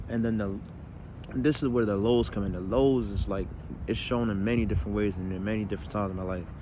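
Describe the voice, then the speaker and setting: A man's very fast speech, fairly low in pitch with ordinary pitch variation and a dark, mellow tone, with audible room echo. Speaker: comedian. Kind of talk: personal monologue video. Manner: fast pressured speech, words stumbling; stammering repetitions.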